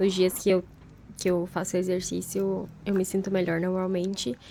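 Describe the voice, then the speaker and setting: The woman's voice is medium in pitch, with a dark, mellow tone. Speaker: vlogger, content creator. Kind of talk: casual vlog narration. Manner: slow and calm when narrating.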